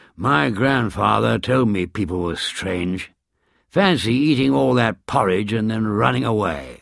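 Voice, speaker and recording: In a put-on, growling character voice, a man speaks at a fairly low pitch and a moderate pace on a very clean recording with a silent background. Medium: read story.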